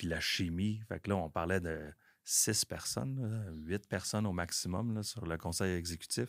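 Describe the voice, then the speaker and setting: A man with a Quebec accent speaks at a very deep, low pitch and a fairly slow pace. His pitch variation is ordinary, and the recording is very clean with a silent background. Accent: Québécois French. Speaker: business owner. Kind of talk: casual chat.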